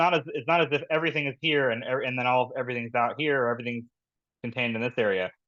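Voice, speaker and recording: A man's medium-pitched voice at a very fast pace, with ordinary pitch variation, dry, close sound with no echo and a quiet background. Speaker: scooter-share company policy manager. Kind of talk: presentation.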